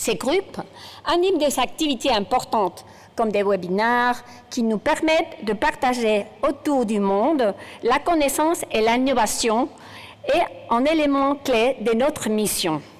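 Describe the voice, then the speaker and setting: A woman speaks in a high voice with a Spanish accent and lively intonation. Her pace is fairly slow and her loudness very even. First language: Spanish (speaking French). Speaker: general practitioner and professor. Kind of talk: conference keynote speech. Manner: halting, with hesitations.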